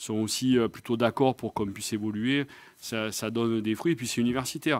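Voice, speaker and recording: A man with a Marseille accent, medium pitch and fairly even intonation, at a fairly quick pace, in a dry, close sound with no echo and a very clean recording with a silent background. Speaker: nursing professional body president. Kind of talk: round-table discussion. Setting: live video stream.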